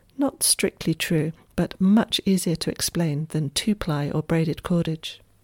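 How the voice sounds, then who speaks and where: Here a woman talks in an ordinary speaking voice, fairly low in pitch, with ordinary pitch variation, very even loudness and a fairly slow pace, in a very clean recording with a silent background and a dry, close sound with no echo. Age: 50s. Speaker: Tai Chi teacher and podcaster. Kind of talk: reflective essay reading.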